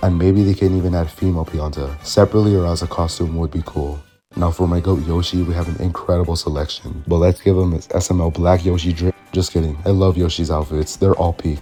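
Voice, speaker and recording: Over music in the background, a man with a very deep, low pitch talks very fast and enthusiastically, with hardly any pauses. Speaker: gaming commentary YouTuber. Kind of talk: video essay voice-over. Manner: casual, enthusiastic.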